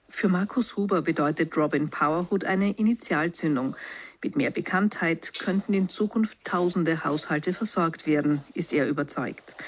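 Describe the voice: Low-pitched woman's voice with a slightly husky edge, ordinary pitch variation, moderate pace and few pauses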